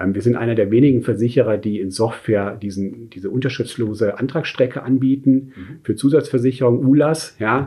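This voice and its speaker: A fairly quick pace from a man with a somewhat breathy voice. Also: medium pitch for a man, ordinary pitch variation. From Munich, Germany. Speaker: insurance sales executive. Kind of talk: interview. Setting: in person in Munich. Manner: hesitant with fillers.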